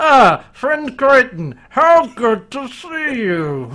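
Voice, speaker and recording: Very slow and strained, this put-on character voice sits at a fairly high pitch. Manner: through clenched teeth, strained politeness.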